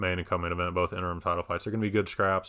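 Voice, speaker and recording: A man speaks with a very deep, low pitch. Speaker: MMA podcast host. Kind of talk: solo podcast commentary. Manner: fast; casual, filler-heavy.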